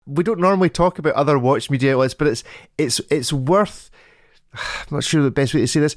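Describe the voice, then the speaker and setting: In a British accent, a playful voice moves at a fairly quick pace with ordinary pitch variation and long, frequent pauses, recorded very cleanly against a silent background. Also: man, fairly high pitch for a man. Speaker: podcast host. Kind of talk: casual chat. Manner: jokey, playful.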